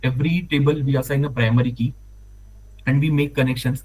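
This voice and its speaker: A man with an Indian accent talks at a fairly quick pace in a somewhat breathy, medium-pitched voice. His intonation is monotone and flat. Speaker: data analyst. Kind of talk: tutorial. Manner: fast; halting.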